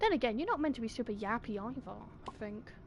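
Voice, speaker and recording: A woman speaks with a British accent. Her pitch is fairly high, and there is noticeable background noise. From Britain. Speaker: gaming streamer. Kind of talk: live gameplay commentary. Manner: goes quiet during blackouts; animated.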